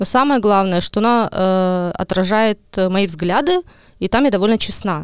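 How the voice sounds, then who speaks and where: Fairly slow and very even in loudness, a woman with an unremarkable speaking voice at medium pitch uses ordinary pitch variation, recorded very cleanly against a silent background with a dry, close sound with no echo. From Estonia, Ida-Viru county. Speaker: journalist. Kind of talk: casual chat.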